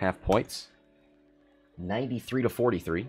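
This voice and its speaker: A man with an American accent talks at a fairly slow pace with ordinary pitch variation. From Oregon, US. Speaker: game commentator. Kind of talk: live commentary.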